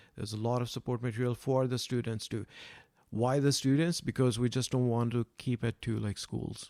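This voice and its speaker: Soft-spoken and with a non-native accent, a man talks at a fairly quick pace and medium pitch in a dark, mellow tone with fairly even intonation, recorded dry and close with no echo. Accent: foreign. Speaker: science club founder. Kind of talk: podcast interview. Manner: hesitant with fillers.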